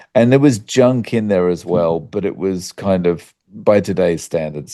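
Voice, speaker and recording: A dark, mellow voice with lively intonation moves at a fairly slow pace. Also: man, hardly any pauses. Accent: Australian. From Australia. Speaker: YouTuber on carnivore diet. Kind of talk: interview conversation. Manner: casual with many fillers.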